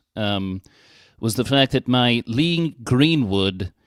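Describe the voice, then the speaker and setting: On a very clean recording with a silent background, a man with a Welsh accent speaks with lively intonation, the sound dry and close with no echo. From Wales. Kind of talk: casual chat.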